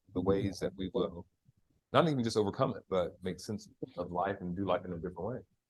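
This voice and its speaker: With an American accent, a man speaks at a fairly quick pace in a fairly low, somewhat breathy voice. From United States. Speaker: facilitator and community organizer. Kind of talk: podcast conversation. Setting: live podcast recording with audience.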